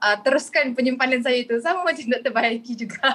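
A woman speaks at a moderate pace. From Kuala Lumpur, Malaysia. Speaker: communications executive and gold dealer. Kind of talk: podcast panel discussion.

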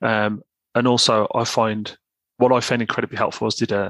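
In a West Midlands accent, a man speaks at a moderate pace and medium pitch with flat, monotone intonation, recorded very cleanly with a silent background and a dry, close sound with no echo. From West Midlands of England. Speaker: online men's self-help writer. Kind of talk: casual chat.

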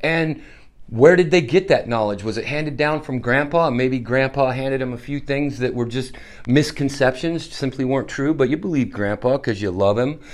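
A man speaks in an ordinary speaking voice, medium in pitch, at a moderate pace with ordinary pitch variation. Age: 50s. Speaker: podcast host, Marine veteran. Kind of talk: solo podcast monologue.

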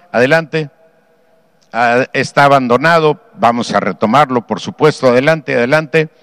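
A man with a normal speaking voice talks at a moderate pace and medium pitch. The sound is dry and close with no echo, and his pitch varies ordinarily. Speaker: state governor. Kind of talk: briefing with slides.

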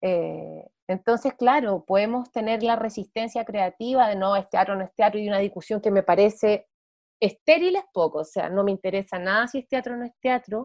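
The speaker talks at a moderate pace with a Santiago Chilean accent. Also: woman, fairly high pitch for a woman, ordinary pitch variation. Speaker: actress and playwright. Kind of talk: interview. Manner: casual, many fillers.

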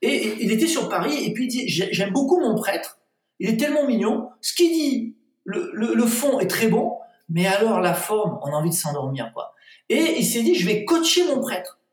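The pitch is extremely high for this man. It swings very widely. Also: moderate pace. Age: 50s. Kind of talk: interview.

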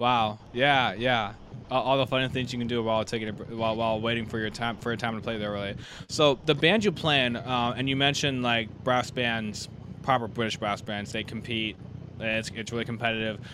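The delivery is fairly quick, with fairly even intonation. It is a normal speaking voice. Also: man, medium pitch for a man. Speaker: trombone channel podcast host. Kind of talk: casual interview.

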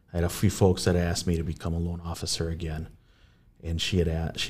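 With an American accent, a man talks at a very fast pace in a very deep, low pitch that is somewhat breathy. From Saint Paul, Minnesota (West Side). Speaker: real estate agent. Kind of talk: interview.

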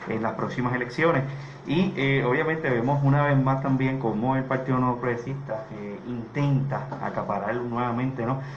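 Noticeable background noise and audible room echo come through. The speaking pace is moderate. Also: man. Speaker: political candidate. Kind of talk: radio panel discussion.

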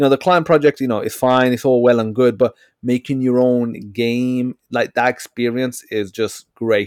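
A man with a normal speaking voice talks at a medium pitch with fairly even intonation and hardly any pauses, the sound dry and close with no echo. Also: moderate pace. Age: 30s. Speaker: podcast host. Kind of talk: casual interview chat.

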